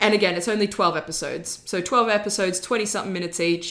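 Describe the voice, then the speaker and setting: Speech races at a very fast pace with an Australian accent. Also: woman. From Australia, born in Florence, Italy. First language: Italian. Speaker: guest film reviewer. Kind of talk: casual chat.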